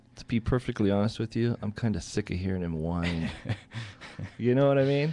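A man talks at a moderate pace in a fairly low pitch with a dark, mellow tone. His pitch varies in an ordinary way. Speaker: guest. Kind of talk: casual radio talk show chat. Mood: annoyed, venting opinion. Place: studio. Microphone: studio mic.

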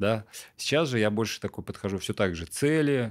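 Against a quiet background, a man with a fairly low pitch speaks with lively intonation. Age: 30s. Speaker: entrepreneur; podcast guest. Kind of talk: interview. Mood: calm, reflective. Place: studio. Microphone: studio mic.

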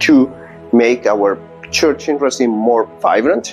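A man speaks fairly slowly while music plays faintly behind him. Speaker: parish priest. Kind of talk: explanatory talk to parishioners. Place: empty room. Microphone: lapel.

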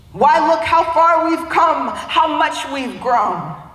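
Very slow speech in an American accent, with audible room echo. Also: woman. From US Midwest, Youngstown, Ohio; Ohio. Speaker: spoken word poet. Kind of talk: spoken word performance. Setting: conference stage. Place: hall.

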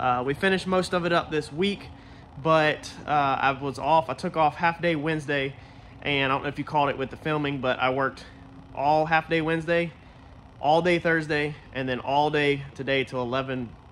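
Delivered at a moderate pace with fairly even intonation, the voice comes over light background noise. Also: man. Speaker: car builder vlogger. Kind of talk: casual vlog chat. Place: garage. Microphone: phone near.

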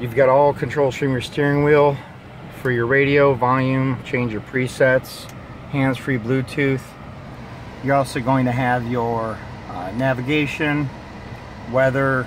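Long, frequent pauses break up a fairly slow, monotone, flat delivery in dry sound with no echo and noticeable background noise. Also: man. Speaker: car salesman. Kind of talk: product walkthrough. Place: car. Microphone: phone near.

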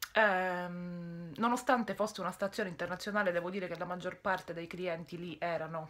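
A woman's fairly low-pitched voice with a bright, sharp tone, delivered at a moderate pace. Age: 20s. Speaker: YouTuber / vlogger; vlogger. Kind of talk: casual monologue vlog. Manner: halting, mild stutter; frequent pauses searching for words. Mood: frustrated venting at times. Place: home room. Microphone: phone near.

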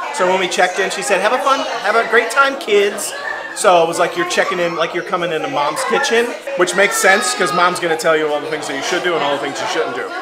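A man talks at a very fast pace. Crowd noise fills the background. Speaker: travel vlogger. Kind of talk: casual vlog review chat. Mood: amused, chatty. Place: cafe. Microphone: phone near.

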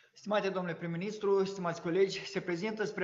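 A man's flat, monotone delivery against noticeable background noise. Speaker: government minister. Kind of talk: formal briefing.

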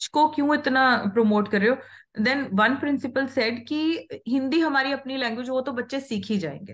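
The background is quiet as a woman talks with a Punjabi accent. Her pitch is high. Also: ordinary pitch variation, moderate pace. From Punjab, India. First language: Punjabi (speaking Hindi). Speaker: healer, former school worker; interview guest. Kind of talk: casual interview conversation. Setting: call. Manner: Hindi-English code-mixing. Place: home room. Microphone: video call.

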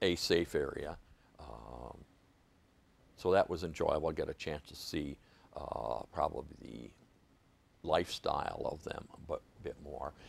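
A man with an Upper Midwest accent, fairly slow, with long, frequent pauses, big swings in loudness and a dry sound with no echo. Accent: Upper Midwest American. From Michigan, Muskegon; Michigan. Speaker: Vietnam war veteran. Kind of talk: oral history interview. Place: studio. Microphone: lapel.

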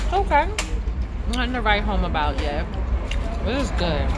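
Fairly slow speech with music in the background. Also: woman. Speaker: food vlogger. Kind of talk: casual food review vlog chat. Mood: relaxed, playful. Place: cafe. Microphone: phone near.

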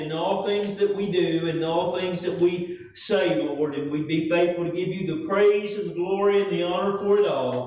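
A man's high-pitched voice with audible room echo. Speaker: pastor preaching. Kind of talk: sermon. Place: church.

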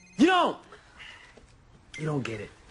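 Putting on a character voice, a man speaks at a fairly slow pace with very wide pitch swings, a fairly bright tone and a husky, rough edge. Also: fairly high pitch for a man.

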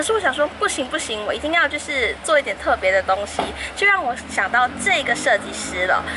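The speech moves at a moderate pace over noticeable background noise. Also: woman. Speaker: vlogger. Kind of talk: casual vlog chat. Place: street. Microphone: phone near.

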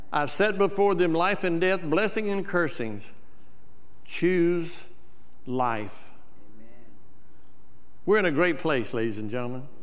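A man talks at a fairly slow pace with long, frequent pauses. His high voice moves in very wide pitch swings. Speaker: church preacher / minister. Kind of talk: sermon delivery. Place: church. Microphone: lapel.

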